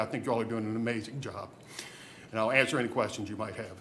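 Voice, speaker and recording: The room echo is audible. A man talks at a very fast pace. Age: 70s. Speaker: community project volunteer. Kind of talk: public meeting presentation. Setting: county board meeting. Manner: halting, many repetitions.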